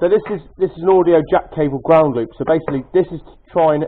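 Moving at a very fast pace, a man talks with ordinary pitch variation. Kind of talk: casual tutorial show-and-tell. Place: garage. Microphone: phone near.

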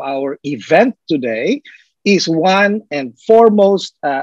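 Over a quiet background, a dry, echo-free recording of a man's voice. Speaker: event host. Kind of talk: welcome speech. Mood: warm, welcoming. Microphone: video call.

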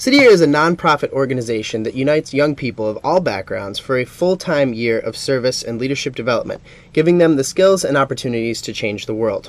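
Talking at a very fast pace with hardly any pauses, a man uses a fairly high pitch and ordinary pitch variation, the sound dry with no echo. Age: 20s. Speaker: television show host. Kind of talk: live call-in TV interview. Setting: TV studio. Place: studio.

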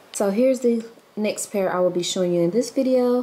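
This woman speaks with a Southern US accent. Noticeable background noise runs behind her. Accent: Southern US, country. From Mississippi. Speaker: vlogger. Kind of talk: casual vlog chat. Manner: animated; feisty.

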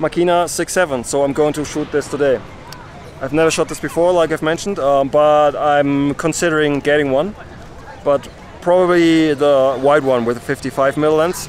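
The voice moves at a moderate pace with ordinary pitch variation, sounding dry with no echo over light background noise. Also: man. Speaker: street photographer vlogger. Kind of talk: casual vlog chat. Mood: cheerful, relaxed. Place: open country.

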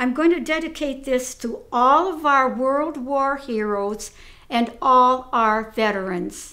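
A raised, projected voice with a bright, sharp tone moves at a very slow pace with ordinary pitch variation over a quiet background. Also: woman. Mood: warm, patriotic. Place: home room. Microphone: phone near.

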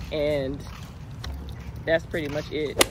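Noticeable background noise sits behind a woman whose voice sounds dry, with no echo. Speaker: lifestyle vlogger. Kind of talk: casual vlog talk to camera. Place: street. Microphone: phone near.

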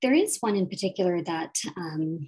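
A woman speaks with a Canadian accent. Her tone is dark and mellow. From Nova Scotia, Canada. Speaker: family physician, department chief. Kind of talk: panel discussion. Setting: video call. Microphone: video call.

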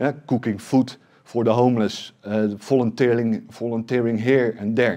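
Against a quiet background, a man speaks at a moderate pace in a medium pitch, his tone dark and mellow and his intonation fairly even. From Netherlands. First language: Dutch. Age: 40s. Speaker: tech company CEO; presenter. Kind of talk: conference talk. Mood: serious, emotional story. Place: meeting room. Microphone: headset.

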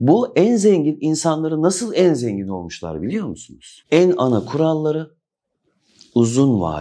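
A man speaks at a moderate pace in a dark, mellow tone, his pitch swinging very widely against a quiet background. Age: 40s. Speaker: crypto YouTuber. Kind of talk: monologue to camera. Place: office.

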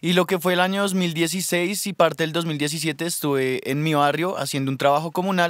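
A man's high pitch and fairly even intonation at a moderate pace, hardly any pauses, in a dry sound with no echo and a quiet background. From Colombia, Bogotá. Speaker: rapper. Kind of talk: radio interview. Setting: studio. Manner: hesitant, many fillers. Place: studio. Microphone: studio mic.

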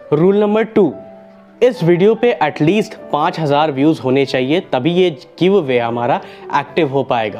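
A man at a very slow pace, with faint music in the background. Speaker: science channel host. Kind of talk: announcement to viewers, Hindi-English mix. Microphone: lapel.

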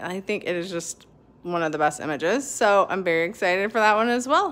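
A woman is speaking at a fairly quick pace. Her pitch varies in an ordinary way. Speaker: puzzle hobby vlogger. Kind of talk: casual vlog chat. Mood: excited, upbeat. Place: home room. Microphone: phone near.

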